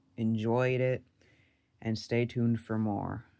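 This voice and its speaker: At a moderate pace, a man speaks at medium pitch in a monotone, flat way. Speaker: hobbyist reviewer. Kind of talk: product review. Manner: casual.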